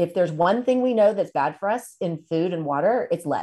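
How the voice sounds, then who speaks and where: Against a quiet background, a woman speaks with a fairly low pitch and a dark, mellow tone. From Tennessee. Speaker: food company founder and nutrition advocate. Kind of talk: interview conversation.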